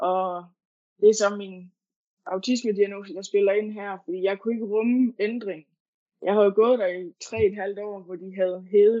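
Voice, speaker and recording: An unremarkable speaking voice from a woman, medium in pitch, at a fairly slow pace. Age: 20s. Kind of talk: interview. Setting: online call. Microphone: poor sound quality.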